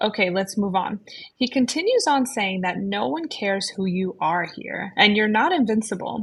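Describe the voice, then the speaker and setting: A somewhat breathy woman's voice at medium pitch and moderate pace, in a very clean recording with a silent background. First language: not English. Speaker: book podcast co-host. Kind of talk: casual book discussion.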